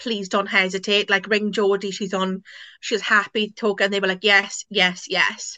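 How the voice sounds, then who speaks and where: A woman's medium-pitched voice with a bright, sharp tone and a Welsh accent, over a quiet background. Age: 20s. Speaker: guest sharing personal story. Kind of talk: interview. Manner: casual with many fillers.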